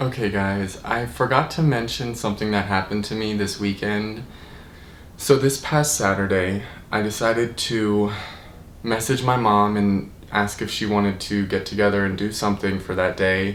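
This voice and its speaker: Over noticeable background noise and audible room echo, a man with a fairly low voice talks at a moderate pace with fairly even intonation. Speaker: vlogger. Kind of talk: casual vlog. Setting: in his apartment. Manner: loud.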